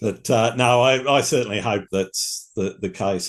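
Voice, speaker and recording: Against a quiet background, a man with an Australian accent talks with ordinary pitch variation. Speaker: podcast host. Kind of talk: casual chat. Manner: halting.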